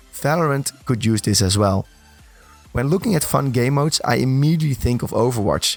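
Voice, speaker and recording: Over music in the background, a man speaks at a fairly quick pace with a medium pitch and ordinary pitch variation. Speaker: gaming content creator. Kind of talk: gaming news narration.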